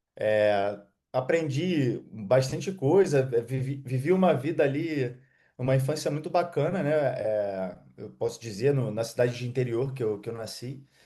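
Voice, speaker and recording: At a fairly slow pace, a man talks at a medium pitch with a dark, mellow tone and ordinary pitch variation. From Rio de Janeiro state, Brazil. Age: 30s. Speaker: digital affiliate marketer. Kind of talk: interview. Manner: halting.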